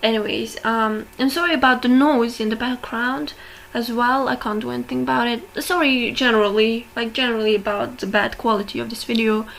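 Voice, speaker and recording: A woman with a non-native accent talks at a fairly quick pace. Her pitch varies in an ordinary way. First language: not English. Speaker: video essayist on personality types. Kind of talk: casual monologue analysis. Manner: hesitant, many fillers. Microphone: bad audio quality.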